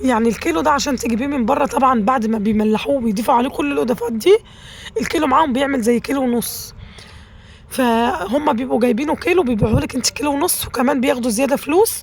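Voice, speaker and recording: The speech comes at a very fast pace with lively intonation. Noticeable background noise runs underneath. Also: woman, high pitch for a woman. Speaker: cooking channel host. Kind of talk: cooking tutorial. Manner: chatty, conversational.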